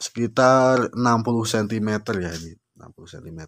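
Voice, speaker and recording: Upbeat in tone, a man talks with ordinary pitch variation. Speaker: orchid seller vlogger. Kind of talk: street-seller style sales pitch. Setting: video channel, solo to camera. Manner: upbeat, promotional, direct address to viewers. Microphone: phone near.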